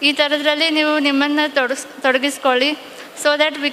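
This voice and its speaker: A woman's high-pitched, raised, projected voice, monotone and flat in intonation, over noticeable background noise. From northern Karnataka, Vijayapura. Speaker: police exam topper. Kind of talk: exam preparation advice talk.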